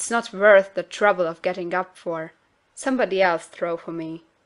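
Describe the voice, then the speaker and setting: A woman does a put-on character voice that is gruff and growling at a medium pitch. She keeps a moderate pace. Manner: impatient, dismissive.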